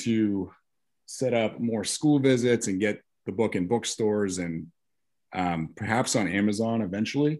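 A man's dark, mellow, fairly low voice at a fairly slow pace, with ordinary pitch variation against a quiet background. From Maine, Biddeford. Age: 40s. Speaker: children's book author and former doctor. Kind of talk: casual interview.

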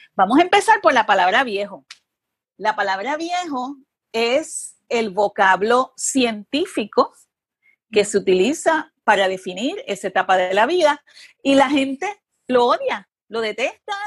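A woman speaks at a fairly slow pace and high pitch, with very wide pitch swings. The sound is dry and close, with no echo. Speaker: journalist and TV producer. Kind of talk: interview conversation.

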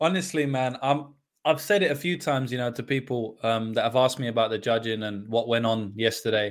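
The speaker has a London accent. Delivery is fairly quick, with ordinary pitch variation. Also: man, medium pitch for a man. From London, England. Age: 20s. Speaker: MMA betting analyst. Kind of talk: casual chat.

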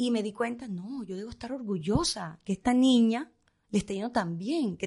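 A woman speaks fairly quickly in a dark, mellow, somewhat breathy tone. The background is quiet. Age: 50s. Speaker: fashion stylist. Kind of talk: interview. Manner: fast.

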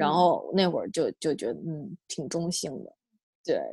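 A woman at a fairly slow pace, dry and close with no echo, on a very clean recording over a silent background. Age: 30s. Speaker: podcast guest. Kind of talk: casual chat. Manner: halting, many repetitions.

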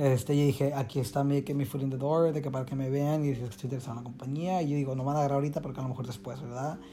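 Over noticeable background noise, a fairly high-pitched man talks at a very fast pace with hardly any pauses and fairly even intonation. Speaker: dancer and choreographer. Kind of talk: casual chat.

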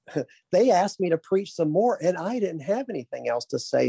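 With a Southern US accent, a man speaks at a fairly quick pace in a dark, mellow tone with lively intonation, the sound dry and close with no echo. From Arkansas. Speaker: pastor. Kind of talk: interview.

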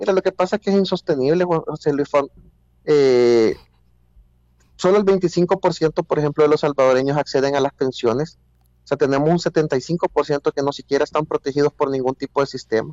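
At a moderate pace, a man speaks in an ordinary speaking voice with ordinary pitch variation. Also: fairly high pitch for a man, very even loudness. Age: 40s. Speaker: politician. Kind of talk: interview.

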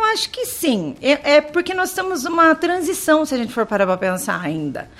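A woman talks at a moderate pace with very wide pitch swings as noticeable background noise continues. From Brazil, interior of São Paulo state. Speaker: primary school teacher. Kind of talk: radio interview.

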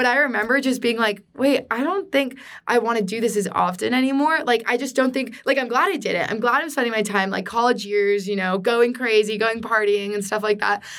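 In a Californian accent, a woman speaks at a fairly high pitch and fairly quick pace with ordinary pitch variation and hardly any pauses. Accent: Californian American. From US West Coast, San Diego, California. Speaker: student singer-songwriter. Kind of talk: casual chat.

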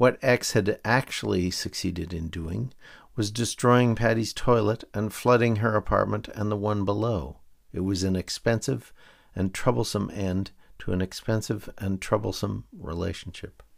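A man's fairly low voice, a normal speaking voice, with ordinary pitch variation at a moderate pace, in a very clean recording with a silent background. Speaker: podcaster reading own serialized novel aloud. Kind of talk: literary audiobook reading, dry wry first-person narration. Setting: home microphone recording.

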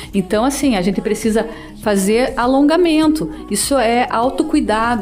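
A woman's high-pitched voice with very wide pitch swings, a moderate pace and noticeable background noise. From southern Paraná, Brazil. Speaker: municipal health secretary. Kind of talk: radio interview.

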